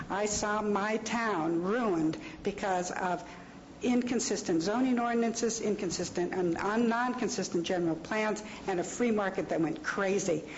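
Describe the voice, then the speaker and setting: A woman at a moderate pace with ordinary pitch variation and very even loudness, plus audible room echo and noticeable background noise. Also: medium pitch for a woman. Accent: American. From US West, Los Angeles. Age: 60s. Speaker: public commenter at county meeting. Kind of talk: public comment speech. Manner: halting.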